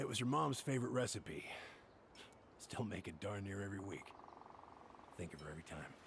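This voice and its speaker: A man's put-on character voice, raspy and fairly low, fairly quick with lively intonation and long, frequent pauses, against clear background noise. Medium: video game. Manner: folksy, hesitant with fillers.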